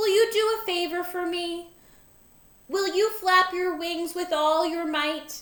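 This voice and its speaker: At a fairly slow pace, a woman speaks in a put-on character voice. It is squeaky and extremely high-pitched. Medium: read story. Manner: soft, wondering.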